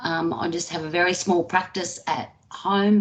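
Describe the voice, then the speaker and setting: A woman speaks at a fairly low pitch. Noticeable background noise sits behind her. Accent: Australian. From Australia. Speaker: therapist. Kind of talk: interview.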